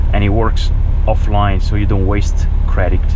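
A man talking fairly quickly amid noticeable background noise. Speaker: truck driver vlogger. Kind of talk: tutorial. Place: car. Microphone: camera far.

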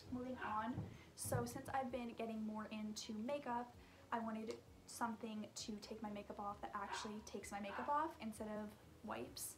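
Noticeable background noise sits under a woman's voice. She speaks at a moderate pace in a fairly high pitch with fairly even intonation. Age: 20s. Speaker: beauty vlogger. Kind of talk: casual product review vlog; casual vlog chat. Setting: at home in her room. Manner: chatty with frequent fillers. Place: home room. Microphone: phone near.

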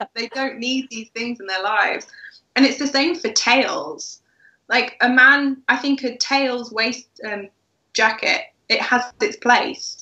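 In a room with audible echo but a quiet background, a woman speaks high and very slowly with ordinary pitch variation. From England. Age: 20s. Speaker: wedding blogger. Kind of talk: casual chat. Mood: relaxed, friendly. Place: home room. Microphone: video call.

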